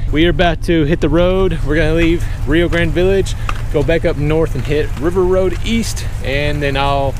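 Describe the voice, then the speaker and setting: Noticeable background noise behind a man at a moderate pace, with fairly even intonation, very even loudness and dry sound with no echo. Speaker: travel vlogger. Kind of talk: casual vlog chat. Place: street. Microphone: phone near.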